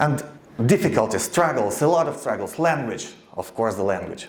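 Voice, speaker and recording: With very wide pitch swings, a man speaks in a Ukrainian accent amid audible room echo. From eastern Ukraine. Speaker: radio founder and producer. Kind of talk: speech to an audience. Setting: stage with audience. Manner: halting.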